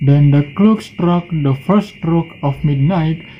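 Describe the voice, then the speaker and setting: Ordinary pitch variation runs through the voice while music plays in the background. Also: man. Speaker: university student. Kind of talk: storytelling reading aloud of a fairy tale.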